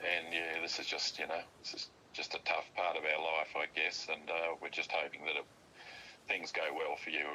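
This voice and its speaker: Over noticeable background noise, a man talks at a moderate pace in an Australian accent. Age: 70s. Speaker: father of the host. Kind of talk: casual chat. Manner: halting, many fillers and repetitions.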